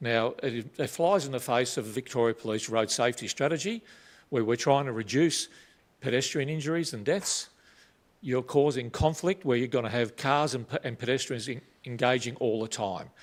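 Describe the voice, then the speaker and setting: A man with an Australian accent at a medium pitch, ordinary pitch variation and a moderate pace, on a very clean recording with a silent background. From Australia, Melbourne (North Coburg). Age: 60s. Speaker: retired police officer, local resident. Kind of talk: public submission at council meeting.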